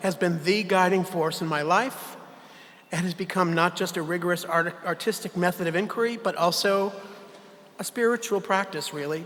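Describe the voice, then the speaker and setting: A man's raised, projected voice, high in pitch, in an American accent. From US Northeast, Connecticut (Hartford suburbs). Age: 70s. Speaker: theatre artistic director. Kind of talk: farewell speech. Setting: gala stage with audience. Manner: reading prepared remarks.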